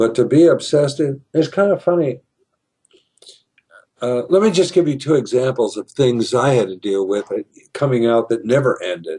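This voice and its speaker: A somewhat breathy man's voice, fairly high in pitch, with a dark, mellow tone and long, frequent pauses. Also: moderate pace. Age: 70s. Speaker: retired teacher, video host. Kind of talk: casual monologue. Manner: halting.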